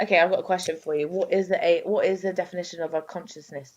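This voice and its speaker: A quiet woman at a fairly quick pace, her intonation fairly even. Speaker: podcast host. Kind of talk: casual chat.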